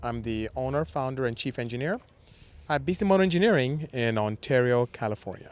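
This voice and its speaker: Talking at a fairly quick pace, a man has a Nigerian accent and a medium pitch. His intonation is lively. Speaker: automotive engineer and business owner. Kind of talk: podcast interview. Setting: outdoors in a parking lot.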